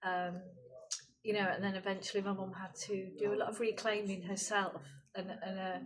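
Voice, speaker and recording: The woman's voice sits at medium pitch with monotone, flat intonation. Room echo is audible. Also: moderate pace. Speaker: artist. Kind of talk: interview. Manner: hesitant, many fillers.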